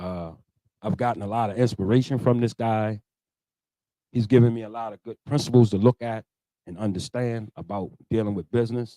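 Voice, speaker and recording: A man with a medium pitch and a dark, mellow tone talks at a fairly quick pace with fairly even intonation, big swings in loudness, and long, frequent pauses, all in a dry, close sound with no echo. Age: 50s. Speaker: barber. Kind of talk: interview. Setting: studio.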